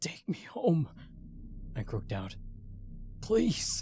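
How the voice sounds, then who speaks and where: Using a put-on character voice, a man talks at a very slow pace in a fairly high pitch with very wide pitch swings. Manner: imploring.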